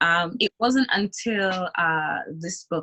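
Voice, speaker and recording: Here a woman speaks with an African accent. Her pitch varies in an ordinary way. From Zimbabwe. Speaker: entrepreneur, beauty company founder. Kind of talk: interview.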